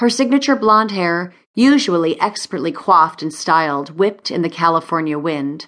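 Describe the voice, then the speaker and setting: A woman with a normal speaking voice and fairly low pitch talks at a moderate pace against a quiet background. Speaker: audiobook narrator. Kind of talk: dramatic audiobook narration, glamorous romance. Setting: studio. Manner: smooth, expressive, sultry and urgent in tense moments.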